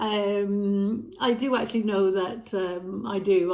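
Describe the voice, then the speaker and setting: Woman's voice at medium pitch, fairly even in intonation, with audible room echo. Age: 60s. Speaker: lifestyle vlogger. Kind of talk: casual talk to camera. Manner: hesitant with fillers.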